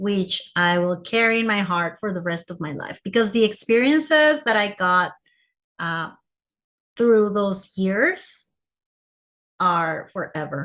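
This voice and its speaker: A woman's bright, sharp voice at medium pitch, fairly slow and lively in intonation, with long, frequent pauses, in a very clean recording over a silent background. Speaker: English teacher. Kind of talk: conference presentation to teachers.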